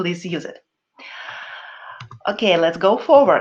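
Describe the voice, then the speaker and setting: Her accent is non-native. The woman's intonation stays lively throughout. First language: not English. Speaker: spiritual teacher. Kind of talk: webinar talk. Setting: online webinar. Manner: halting.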